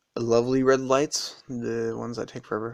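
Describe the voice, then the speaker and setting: An American accent marks this man's ordinary speaking voice. He speaks at a medium pitch and a fairly quick pace. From United States. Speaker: vlogger. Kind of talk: casual video commentary. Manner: rambling with many fillers.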